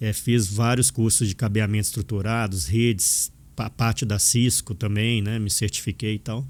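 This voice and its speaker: A man with a Minas Gerais accent, fairly low in pitch, at a moderate pace with ordinary pitch variation, on a very clean recording with a silent background. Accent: mineiro (Minas Gerais). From Minas Gerais, Brazil (born in Angola). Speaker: information security professor and author. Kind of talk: podcast interview.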